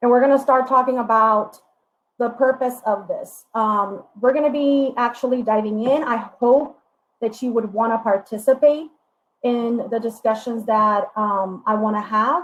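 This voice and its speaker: A woman's voice in a Spanish accent, with fairly even intonation. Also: fairly high pitch for a woman, fairly slow pace. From Puerto Rico. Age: 30s. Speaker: diversity educator. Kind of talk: workshop presentation. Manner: hesitant, frequent fillers.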